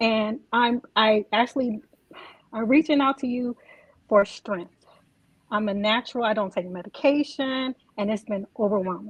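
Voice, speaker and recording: Quiet and somewhat breathy, a woman talks with ordinary pitch variation. The sound is dry and close, with no echo. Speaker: caller. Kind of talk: call-in testimony. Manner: quiet, hard to hear; halting, hesitant. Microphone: too quiet.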